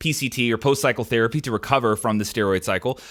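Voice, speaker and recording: A man at a fairly quick pace, on a very clean recording with a silent background. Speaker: podcast host. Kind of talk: solo podcast Q&A. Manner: casual, filler-heavy.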